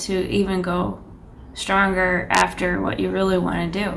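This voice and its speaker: A soft-spoken woman talks at a very slow pace. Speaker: aspiring illustrator. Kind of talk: casual talk to camera.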